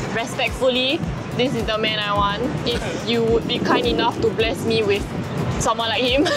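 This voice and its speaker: Clear music plays behind a woman speaking at a moderate pace. Her voice sounds dry, with no echo. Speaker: travel video host. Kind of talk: casual vlog chat. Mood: playful, giggly. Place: street. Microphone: camera far.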